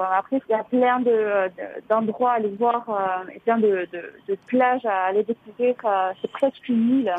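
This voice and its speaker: A woman speaks at a fairly slow pace, her fairly high voice keeping a fairly even intonation. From French Basque Country (Mugerre). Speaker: hotel worker. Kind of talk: radio interview. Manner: halting.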